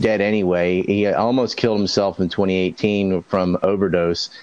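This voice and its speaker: With an American accent and an unremarkable speaking voice, a man talks at a moderate pace and fairly low pitch. His loudness stays very even against a quiet background. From US South, North Carolina Outer Banks (Hatteras Island). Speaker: conspiracy commentator. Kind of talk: casual chat.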